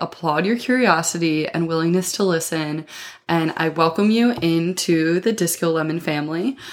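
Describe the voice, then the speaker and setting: A woman with a fairly low pitch talks at a moderate pace, keeping her loudness very even and her pitch variation ordinary. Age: 20s. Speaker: podcast host. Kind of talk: casual monologue. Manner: animated.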